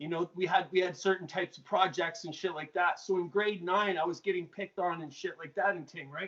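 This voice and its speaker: Fairly quick speech with fairly even intonation and hardly any pauses. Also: man. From Canada, Mississauga, Ontario. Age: 30s. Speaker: former drug dealer in recovery. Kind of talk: interview storytelling. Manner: casual, filler-heavy speech.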